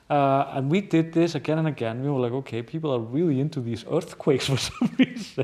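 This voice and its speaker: This man has a strong Icelandic accent and a fairly high pitch with ordinary variation. His tone is dark and mellow, and he speaks with hardly any pauses. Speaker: journalist and news show host. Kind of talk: podcast conversation. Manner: halting, many fillers and repeats.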